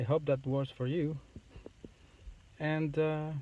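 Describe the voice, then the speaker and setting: At a very slow pace, a man with a fairly high pitch and a dark, mellow tone talks with fairly even intonation. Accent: non-native. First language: not English. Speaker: YouTuber making a how-to video. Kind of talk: tutorial. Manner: halting.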